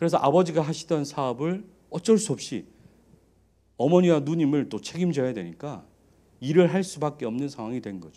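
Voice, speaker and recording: A man with a fairly high, dark, mellow voice talks fairly quickly but with long, frequent pauses. His intonation is lively and his loudness swings widely. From Daegu, South Korea. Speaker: pastor. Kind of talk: sermon.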